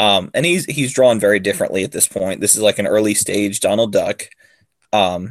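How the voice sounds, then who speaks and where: Recorded with a dry, close sound and no echo, a man with an ordinary speaking voice talks at medium pitch and a moderate pace. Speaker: podcast co-host. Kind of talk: casual chat. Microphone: new microphone.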